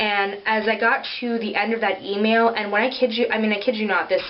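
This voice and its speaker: Over noticeable background noise, a woman with a fairly high pitch speaks at a fairly quick pace. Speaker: beauty vlogger. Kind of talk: casual product review vlog. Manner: casual with many filler ums.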